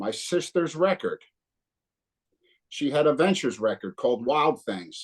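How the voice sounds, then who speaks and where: A man with a New Jersey accent, fairly high pitch, very wide pitch swings and vocal fry, at a fairly slow pace with long, frequent pauses, in a dry, close sound with no echo. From northern New Jersey. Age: 60s. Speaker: punk guitarist. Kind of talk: casual interview.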